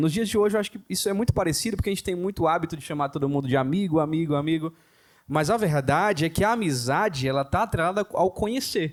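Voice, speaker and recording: On a very clean recording with a silent background, a man talks at a very fast pace with a high pitch. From southern Bahia, Brazil. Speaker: pastor. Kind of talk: casual chat.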